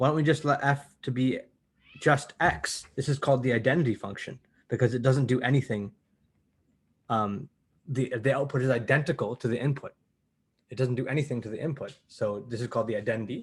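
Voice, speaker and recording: A man speaks in a somewhat breathy voice with ordinary pitch variation and long, frequent pauses. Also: medium pitch for a man, fairly quick pace. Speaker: university math lecturer. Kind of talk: lecture. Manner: fast; animated.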